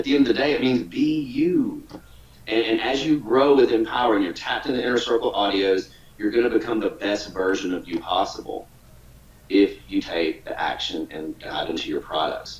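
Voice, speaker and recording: Noticeable background noise runs under a man speaking with a Southern US accent. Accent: Southern drawl. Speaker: online business coach. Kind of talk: webinar training talk. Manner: casual, repetitive stammering.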